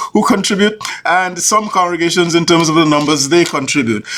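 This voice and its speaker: A man speaks with a high pitch and ordinary pitch variation. Noticeable background noise runs under his voice. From Caribbean. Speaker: church executive minister and show host. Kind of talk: interview. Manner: halting, many repetitions.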